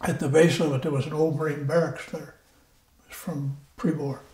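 A man with a fairly high pitch talks at a moderate pace over noticeable background noise. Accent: American. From Iowa, USA. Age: 90s. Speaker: WWII Marine veteran. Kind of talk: interview answer.

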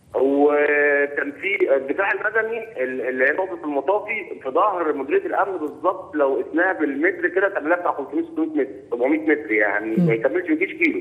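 With noticeable noise behind him, a man with an Egyptian accent talks at a moderate pace, his loudness very even and his pauses few. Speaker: caller. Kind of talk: phone-in commentary. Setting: phone call.

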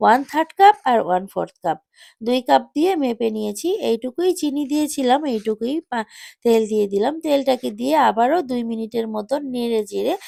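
With lively intonation, a woman speaks in a high pitch with a dark, mellow tone and a dry, close sound with no echo. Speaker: cooking channel host. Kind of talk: tutorial.

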